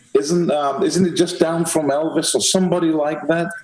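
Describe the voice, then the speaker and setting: Amid noticeable background noise, a man talks in a Manchester accent. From England, Manchester. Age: 60s. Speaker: podcast host. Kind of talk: interview.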